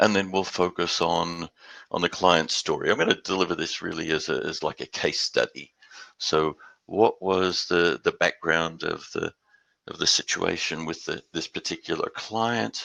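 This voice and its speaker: In an Australian accent, a man talks at a moderate pace, the sound dry and close with no echo. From Australia, Perth; later Houston. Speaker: industry presenter. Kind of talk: webinar presentation.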